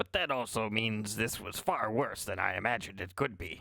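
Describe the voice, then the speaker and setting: A man puts on a character voice at a medium pitch. The voice is raspy. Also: moderate pace. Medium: actual play. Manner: formal, measured, hesitant.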